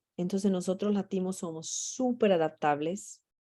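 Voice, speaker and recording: This woman speaks with a Portuguese accent. Her pitch is medium and her pace fairly slow. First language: Portuguese (speaking Spanish). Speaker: mental health trainer. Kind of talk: training session.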